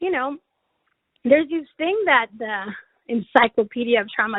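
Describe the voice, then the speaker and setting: The speaker is a woman. She talks with a Spanish accent. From Mexico. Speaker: chaplain and webinar presenter. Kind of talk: webinar presentation with Q&A. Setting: online webinar.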